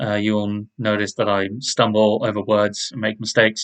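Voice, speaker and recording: A man is speaking. His pitch is fairly low. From southern England. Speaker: podcaster. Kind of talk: casual monologue introduction. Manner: hesitant, many fillers.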